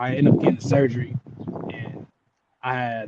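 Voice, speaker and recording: With an American accent, a man speaks at medium pitch in a dry, close sound with no echo. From Southern California (Ontario, CA). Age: 20s. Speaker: former pro football player. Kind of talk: interview. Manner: halting, many fillers.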